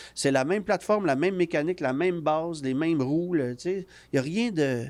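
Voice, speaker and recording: On a very clean recording with a silent background, a man with a Quebec accent talks at a moderate pace with ordinary pitch variation. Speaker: automotive journalist. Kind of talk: podcast interview. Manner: casual, frequent fillers and repetitions.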